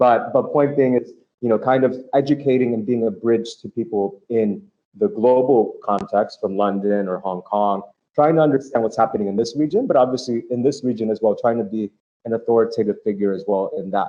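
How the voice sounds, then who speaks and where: In an American accent, someone with an ordinary speaking voice talks at a fairly quick pace with ordinary pitch variation. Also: man, medium pitch for a man. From United States. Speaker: fintech media executive and report author. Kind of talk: panel interview. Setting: hybrid live event. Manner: repetitive filler-heavy speech.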